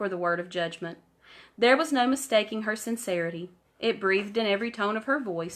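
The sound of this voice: The clip features an unforced reading voice. Nothing else stands out.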